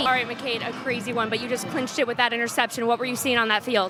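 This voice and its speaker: Music plays in the background as a woman talks very fast at a high pitch in a monotone, flat way. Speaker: sports anchor and reporter. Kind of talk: sideline interview questions. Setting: outdoors, sidelines.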